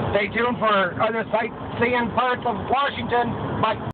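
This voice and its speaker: Noticeable background noise accompanies a man as he talks. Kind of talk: casual vlog chat. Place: car. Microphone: phone near.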